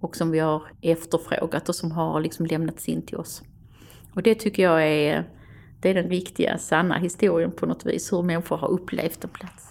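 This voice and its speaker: A woman's fairly low-pitched voice with vocal fry and fairly even intonation. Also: moderate pace. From Österlen, Skåne, southern Sweden. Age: 60s. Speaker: museum director and storyteller. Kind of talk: interview.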